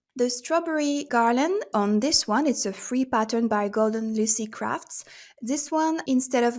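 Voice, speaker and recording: A woman with a fairly high pitch and a non-native accent is heard in a very clean recording over a silent background. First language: not English. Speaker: crochet content creator. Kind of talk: tutorial-style product roundup. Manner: casual with filler words.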